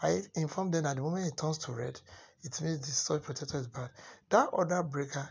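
Somewhat breathy, a man speaks at a fairly high pitch with ordinary pitch variation. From Nigeria. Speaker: solar and electrical installer. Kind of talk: tutorial. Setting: voice-over narration of installation video. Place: home room. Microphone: phone near.

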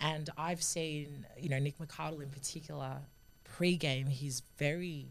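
A woman speaks with a very deep, low pitch and vocal fry. Her intonation is fairly even. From Sydney, Australia. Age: 20s. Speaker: rugby union player and sports commentator. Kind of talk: podcast interview answer. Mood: warm, thoughtful, lightly humorous. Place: studio. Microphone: studio mic.

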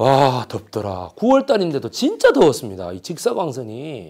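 The speaker's tone is animated, with very wide pitch swings, at a fairly slow pace. The recording is very clean, with a silent background. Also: man. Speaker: history lecturer. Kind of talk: lecture. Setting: lecture room with audience. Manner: loud.

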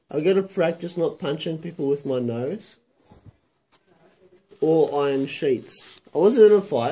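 A man's mumbling, dark and mellow in tone, at a fairly slow pace. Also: ordinary pitch variation. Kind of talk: drowsy rambling chat. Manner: slurred, groggy post-anesthesia mumble. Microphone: phone near.

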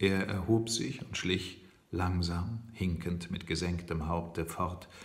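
A man speaks with a very deep, low pitch and a somewhat breathy quality. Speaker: audiobook reader. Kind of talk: novel reading. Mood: calm storytelling. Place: kitchen. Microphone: phone near.

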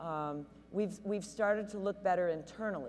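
Light background noise sits behind a woman with a plain, everyday voice. She talks at a moderate pace with ordinary pitch variation. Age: 50s. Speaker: high school sports official. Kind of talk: panel discussion. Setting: stage with audience. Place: hall. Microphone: handheld.

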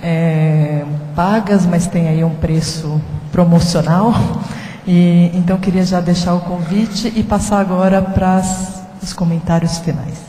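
A woman speaks very slowly at a fairly low pitch, in a monotone, flat delivery. Audible room echo surrounds her voice. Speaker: panel moderator. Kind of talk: panel moderation. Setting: stage with audience. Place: hall. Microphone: handheld.

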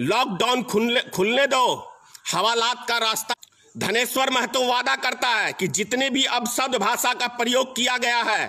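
A man's raised, projected voice at an extremely high pitch, with fairly even intonation, very even loudness and a fairly slow pace. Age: old. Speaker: political activist; speaker. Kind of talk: political speech. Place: home room. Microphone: phone near.

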